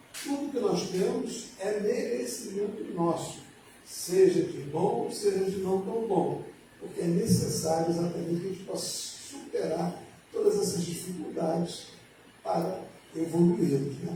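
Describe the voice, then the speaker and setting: A man with a high pitch speaks at a fairly slow pace, with audible room echo and noticeable background noise. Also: ordinary pitch variation. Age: 70s. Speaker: spiritist lecturer. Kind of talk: lecture. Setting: spiritist centre with audience.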